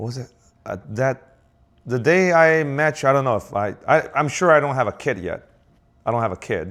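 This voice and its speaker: A man's medium-pitched voice in a Chinese accent, with lively intonation, at a moderate pace, on a very clean recording with a silent background. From southern China. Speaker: business owner. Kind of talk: casual chat. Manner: halting.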